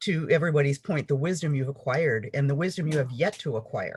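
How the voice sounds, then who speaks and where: This woman's voice is very deep and low in pitch and somewhat breathy. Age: 60s. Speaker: author and yoga teacher. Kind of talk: casual chat.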